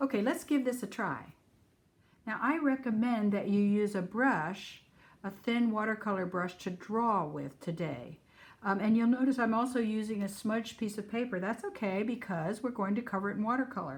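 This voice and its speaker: A woman speaks at a moderate pace in a somewhat breathy voice. Her pitch is fairly high, with ordinary variation. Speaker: art teacher. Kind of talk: tutorial.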